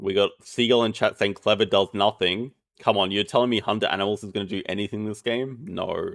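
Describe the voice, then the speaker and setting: Talking at a fairly quick pace with hardly any pauses, a man uses an Australian accent. His pitch is fairly low and his intonation fairly even. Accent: lazy Australian. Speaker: game caster. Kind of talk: live commentary.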